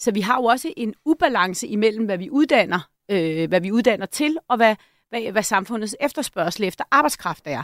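In a very clean recording with a silent background, a woman speaks at a moderate pace in a fairly high pitch. Her pitch swings very widely, and the sound is dry and close with no echo. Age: 50s. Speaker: think tank director. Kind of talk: panel discussion. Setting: studio.

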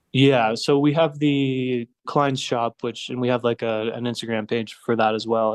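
In a plain, everyday voice, a man with a Canadian accent speaks at a medium pitch and a moderate pace, his intonation fairly even. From Canada, Ontario. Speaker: magazine founder. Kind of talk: interview. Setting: remote call.

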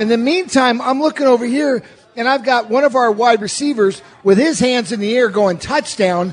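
An extremely high-pitched male voice, animated and excited, at a moderate pace with ordinary pitch variation and noticeable background noise. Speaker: radio host and former player. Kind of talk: sports commentary, film breakdown. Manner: animated, excited.

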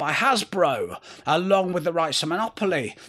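This man has a bright, sharp tone and a northern English accent, with ordinary pitch variation at a moderate pace. The recording is very clean, with a silent background. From northern England. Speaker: history podcast host. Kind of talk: scripted narration.

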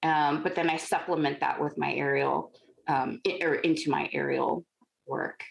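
A woman with a Californian accent speaks at a moderate pace, with very even loudness. Her pauses are long and frequent. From Los Angeles, San Fernando Valley. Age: 40s. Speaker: contortionist and aerialist. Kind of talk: interview conversation.

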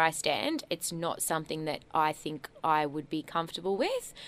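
A woman with an Australian accent and a fairly low pitch, on a very clean recording with a silent background. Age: 20s. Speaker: radio host. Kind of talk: casual chat. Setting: studio.

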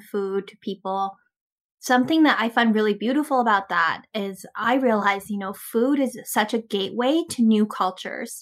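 A woman with a Canadian accent uses a normal speaking voice at a moderate pace, with ordinary pitch variation and big swings in loudness. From Canada. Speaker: podcast host. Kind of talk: interview.

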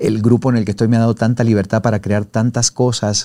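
With a dark, mellow tone, a man talks at a fairly quick pace, his medium pitch carried in fairly even intonation. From Argentina, Mendoza. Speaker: TV presenter and journalist. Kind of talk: interview. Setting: studio.

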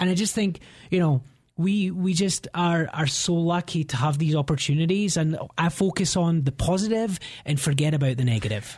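Against a quiet background, a man with a high-pitched voice keeps his loudness very even. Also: ordinary pitch variation, moderate pace. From Scotland. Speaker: realtor. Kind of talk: radio interview.

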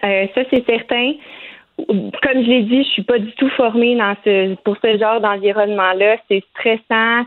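A woman speaks with a Quebec accent at a fairly high pitch and with fairly even intonation. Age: 20s. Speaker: nurse. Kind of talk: interview.

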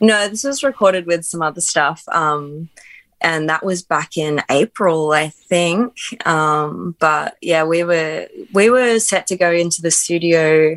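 Woman with an Australian accent, fairly low pitch and ordinary pitch variation, speaking at a fairly slow pace in a dry, close sound with no echo. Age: 20s. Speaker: musician. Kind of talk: casual chat.

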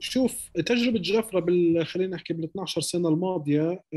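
A dark, mellow tone in a dry, close sound with no echo. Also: man. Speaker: musician and music producer. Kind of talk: casual interview chat. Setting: Ramallah.

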